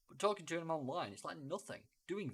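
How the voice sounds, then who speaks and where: A man speaks with a British accent and lively intonation. His voice has vocal fry. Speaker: podcast co-host. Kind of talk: casual chat. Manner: normal volume, fluent here.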